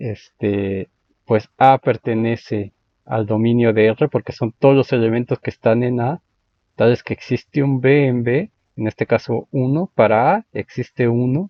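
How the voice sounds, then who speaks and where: His pitch shows ordinary variation. This man has a medium-pitched voice. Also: fairly slow pace. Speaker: math lecturer. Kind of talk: lecture. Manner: slow; halting.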